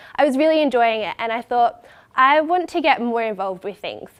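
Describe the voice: A woman with a nasal, fairly high voice talks at a fairly quick pace with lively intonation.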